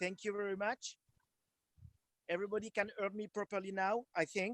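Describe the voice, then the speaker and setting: With a French accent, a man talks in a high, monotone voice with flat intonation and a dry, close sound with no echo. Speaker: wine producer. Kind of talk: product presentation. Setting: video call. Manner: halting.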